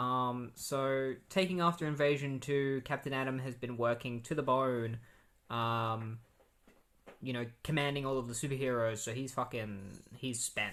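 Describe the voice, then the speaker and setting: A man speaks in an ordinary speaking voice at a medium pitch. His intonation stays fairly even at a moderate pace. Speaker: comic book podcast host. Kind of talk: casual solo podcast recap. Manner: casual, many fillers.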